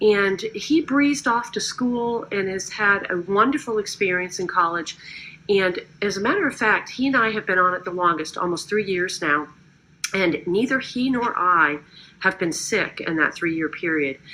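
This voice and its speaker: Lively intonation runs through a woman's plain, everyday voice at a medium pitch. She keeps a moderate pace. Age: 50s. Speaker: network marketing distributor. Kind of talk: testimony. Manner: casual, conversational.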